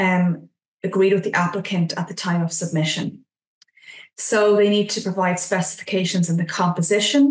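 The voice comes with an Irish accent and fairly even intonation. The background is quiet, though room echo is audible. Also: woman. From Ireland. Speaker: nutrition scientist, regulatory consultant; presenter. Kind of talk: webinar presentation. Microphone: video call.

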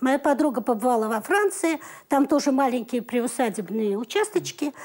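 At a moderate pace, a woman with a high pitch and a dark, mellow tone makes very wide pitch swings on a very clean recording with a silent background. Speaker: TV documentary maker. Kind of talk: studio discussion.

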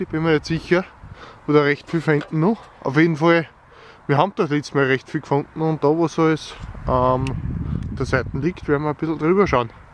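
A man speaks at a fairly quick pace, with light background noise and a dry sound with no echo. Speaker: metal detectorist. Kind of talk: casual talk to camera. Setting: outdoors. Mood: cheerful, pleased with finds. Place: farm machine. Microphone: phone near.

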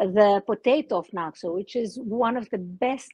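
Her intonation is lively, and the woman's voice sounds dry with no echo over a quiet background. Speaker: remote guest. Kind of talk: interview answer. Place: open country. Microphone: video call.

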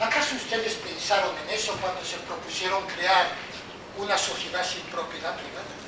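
A man's high-pitched voice at a moderate pace, with fairly even intonation, audible room echo and noticeable background noise. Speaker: actor playing an interrogator. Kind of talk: theatrical monologue. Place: stage. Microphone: camera far.

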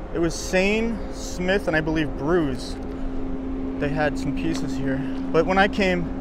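Noticeable background noise surrounds a man speaking at a moderate pace. The sound is dry with no echo. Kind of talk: casual vlog chat. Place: open country. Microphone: phone near.

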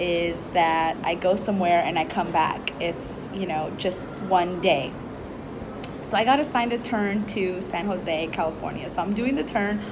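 Noticeable background noise plays behind a woman whose moderate-paced speech has ordinary pitch variation. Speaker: flight attendant vlogger. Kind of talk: casual vlog chat. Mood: cheerful, amused. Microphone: phone near.

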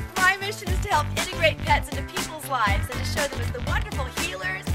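The speech races along at a very fast pace over loud music in the background. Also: woman. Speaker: pet lifestyle coach and TV host. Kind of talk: pet training and care advice to camera. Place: garden.

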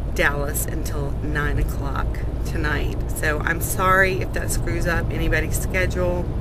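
A woman speaks at a fairly slow pace in a dry recording with no echo, over loud background noise. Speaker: vlogger. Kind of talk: casual vlog chat. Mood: disappointed but laughing it off. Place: car. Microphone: phone near.

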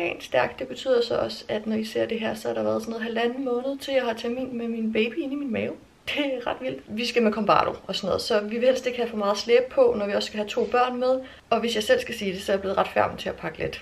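The woman's delivery is very fast. She keeps her intonation fairly even throughout. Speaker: vlogger. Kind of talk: casual vlog chat. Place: home room. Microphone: phone near.

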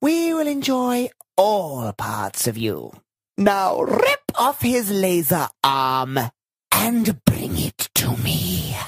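A man's high, put-on character voice at a very slow pace.

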